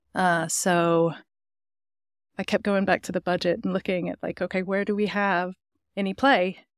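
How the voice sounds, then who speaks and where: A woman speaks at a moderate pace with an American accent, recorded very cleanly over a silent background with a dry, close sound and no echo. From North Carolina mountains, with youth in Germany and England. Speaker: entrepreneur. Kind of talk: interview. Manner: halting.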